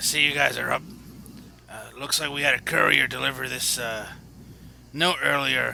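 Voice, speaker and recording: A man puts on a raspy character voice at a moderate pace, pausing long and often. Background noise is clearly audible. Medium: actual play. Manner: casual, easygoing.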